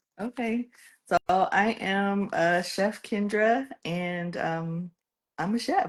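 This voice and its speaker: A woman talks very slowly, her medium-pitched voice showing ordinary pitch variation. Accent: American. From San Diego, California. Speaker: chef. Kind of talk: interview.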